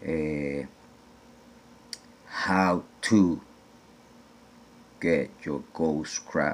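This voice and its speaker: With a slight non-native accent, a man speaks in a very deep, low pitch and fairly even intonation. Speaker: DIY gold recovery video maker. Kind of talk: tutorial. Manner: casual, hesitant with fillers.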